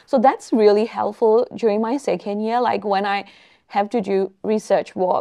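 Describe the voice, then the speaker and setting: Against a quiet background, a woman speaks at a moderate pace with a dark, mellow tone and fairly even intonation. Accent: Burmese. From Myanmar. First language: Burmese. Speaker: research fellow in epidemiology; guest. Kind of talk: online panel interview; interview answer. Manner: hesitant, many fillers. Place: meeting room. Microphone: lapel.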